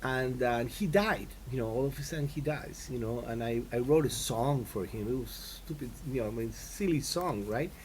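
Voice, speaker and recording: Audible room echo surrounds a man's somewhat breathy voice. He speaks at a moderate pace. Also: medium pitch for a man, ordinary pitch variation. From Latin America. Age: 60s. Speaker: composer and guitarist. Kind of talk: interview. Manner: halting, many fillers.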